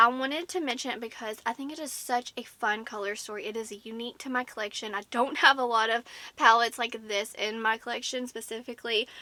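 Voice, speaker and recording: A woman with a fairly high pitch and a bright, sharp tone races along at a very fast pace with hardly any pauses and big swings in loudness, on a very clean recording with a silent background. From US South. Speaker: beauty YouTuber. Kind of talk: product review. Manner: animated.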